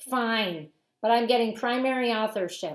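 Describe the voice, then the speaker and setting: Using a put-on character voice, a woman speaks at a moderate pace with a fairly high pitch and ordinary pitch variation. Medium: read story. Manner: scathing, imperious.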